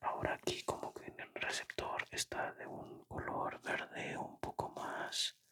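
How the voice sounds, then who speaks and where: Someone whispers at a very slow pace. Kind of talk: casual talk to listeners. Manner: whispered.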